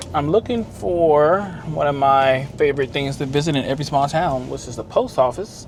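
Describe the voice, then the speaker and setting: A man speaks with an American accent at a moderate pace. Noticeable background noise can be heard. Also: fairly high pitch for a man, ordinary pitch variation. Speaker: travel vlogger. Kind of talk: casual vlog narration. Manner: casual, animated.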